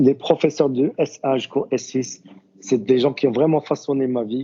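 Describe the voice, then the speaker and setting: The man's medium pitch shows ordinary variation as he moves along at a moderate pace. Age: 40s. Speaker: university student, tourism professional. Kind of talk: podcast interview. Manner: halting, many fillers and repetitions.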